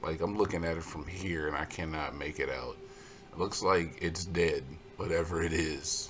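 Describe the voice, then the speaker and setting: Noticeable background noise runs behind a man at a moderate pace. His very deep, low voice stays monotone and flat. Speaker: gaming video commentator. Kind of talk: live gameplay commentary. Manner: jokey.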